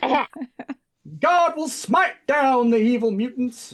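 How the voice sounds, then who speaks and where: A put-on character voice at a fairly high pitch in a Southern accent, at a very slow pace. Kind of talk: preacherly. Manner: fervent, thundering, dramatic.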